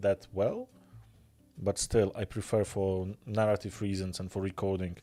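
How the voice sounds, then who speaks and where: Music plays in the background. A man speaks at a fairly low pitch. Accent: Polish. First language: Polish. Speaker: miniature painting streamer. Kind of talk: live stream casual chat while painting. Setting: live stream. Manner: fast.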